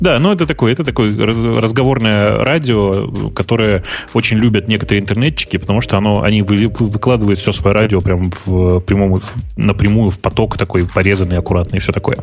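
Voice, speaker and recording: Against noticeable background noise, a man with a fairly low voice speaks at a fairly quick pace with ordinary pitch variation. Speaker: tech podcast co-host. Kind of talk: casual chat.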